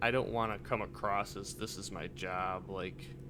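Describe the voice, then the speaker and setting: This man has a bright, sharp tone with vocal fry and lively intonation, and audible room echo can be heard. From Michigan. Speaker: gaming video creator. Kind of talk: casual gameplay commentary. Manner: casual, rambling.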